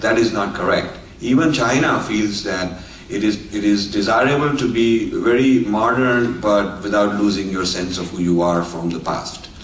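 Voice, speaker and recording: Amid noticeable background noise and audible room echo, a man speaks at a moderate pace. His pitch is fairly low, with ordinary variation. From India. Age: 60s. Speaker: author and speaker. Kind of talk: lecture. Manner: halting with filler words.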